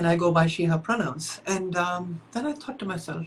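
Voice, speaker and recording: Somewhat breathy woman's voice, fairly low in pitch, at a moderate pace with ordinary pitch variation. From India, Chennai. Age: 50s. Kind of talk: interview.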